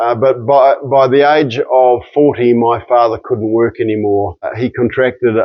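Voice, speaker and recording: In a New Zealand accent, a man talks at medium pitch. His intonation is monotone and flat. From New Zealand, near Nelson, South Island. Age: 60s. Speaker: registered nurse and nutrition educator. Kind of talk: personal introduction monologue. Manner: halting, with frequent fillers and repeats.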